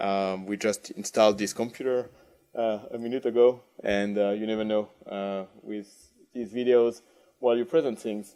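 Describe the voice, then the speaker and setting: At a moderate pace, a man with a French accent speaks at a fairly low pitch with fairly even intonation. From France. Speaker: industry manager giving a conference keynote. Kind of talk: conference keynote. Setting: conference stage with audience. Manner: halting, many fillers and repetitions.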